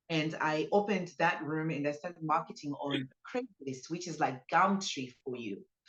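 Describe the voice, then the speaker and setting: This woman has a very deep, low pitch and a Zimbabwean accent. Her intonation is lively and her pace moderate. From Zimbabwe, Harare. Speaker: business owner, spa founder. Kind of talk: interview testimony.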